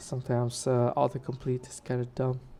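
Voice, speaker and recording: A woman speaks in a very deep, low pitch with a dark, mellow tone. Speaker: developer workshop instructor. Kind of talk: live coding tutorial. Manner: casual, many fillers.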